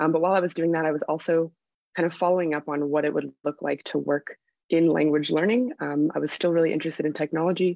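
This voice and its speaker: A woman with a very deep, low pitch at a very fast pace, in a dry, close sound with no echo and a quiet background. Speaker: tech policy analyst. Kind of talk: panel discussion.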